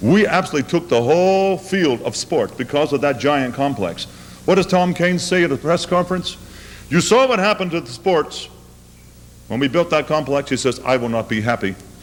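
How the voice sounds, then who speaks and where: Against noticeable background noise, a man with an American accent talks at a fairly quick pace with very wide pitch swings. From United States. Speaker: opera singer. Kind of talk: public lecture.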